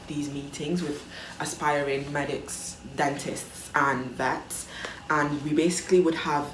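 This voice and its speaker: A woman speaks at a fairly slow pace, her pitch very deep and low. The room echo is audible, and background noise is noticeable. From Italy. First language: Italian. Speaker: vlogger. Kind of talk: casual chat. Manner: hesitant, many fillers.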